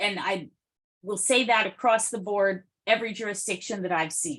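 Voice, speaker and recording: Ordinary pitch variation and a moderate pace in a plain, everyday voice. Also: woman. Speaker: consultant presenting to a city task force. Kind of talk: public meeting discussion.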